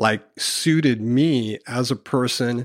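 A man speaks in an ordinary speaking voice at medium pitch, with fairly even intonation, on a very clean recording with a silent background and a dry, close sound with no echo. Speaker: counseling intern and business owner. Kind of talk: casual chat.

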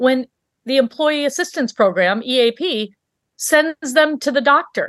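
A woman speaks with an American accent at a high pitch. The sound is dry and close with no echo, over a quiet background. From US Midwest, Michigan. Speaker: physician, coach and author. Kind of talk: interview.

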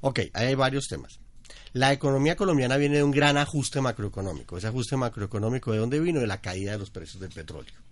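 Against a quiet background, a man of medium pitch talks at a very fast pace. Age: 40s. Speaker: behavioral economist, consumer analyst. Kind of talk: podcast interview.

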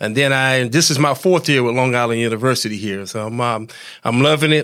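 A man's medium-pitched voice in an American accent, fairly even in intonation and at a fairly quick pace. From US South. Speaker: retired football player. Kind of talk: interview.

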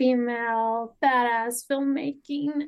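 A woman's high, monotone voice with flat intonation over a quiet background. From Canada, Cowichan Nation (British Columbia). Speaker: filmmaker and guest co-host. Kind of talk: casual chat.

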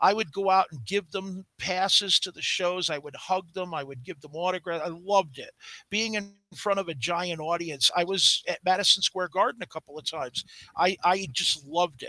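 A man with an American accent speaks at a high pitch in a bright, sharp tone, with ordinary pitch variation and a moderate pace. His loudness swings widely, and the sound is dry and close with no echo. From Brooklyn, New York. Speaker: comic book artist and former wrestler. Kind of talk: interview. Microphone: feedback from old laptop.

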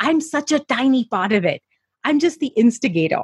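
Somewhat breathy and swinging very widely in pitch, a woman speaks at a moderate pace in a dry, close sound with no echo. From India, Mumbai. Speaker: entrepreneur and media coach. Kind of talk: interview. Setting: office.

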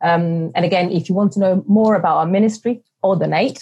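A woman talks at a moderate pace and medium pitch with ordinary pitch variation and a somewhat breathy voice. The background is quiet. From Sicily, Italy. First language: Italian. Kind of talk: interview. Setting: remote call. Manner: hesitant, many fillers.

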